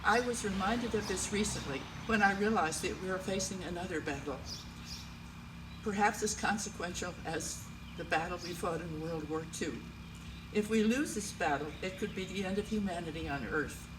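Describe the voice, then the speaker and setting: Over noticeable background noise and audible room echo, a woman with an American accent talks at a moderate pace and a medium pitch, with ordinary pitch variation. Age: 80s+. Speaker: local historian. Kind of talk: prepared speech.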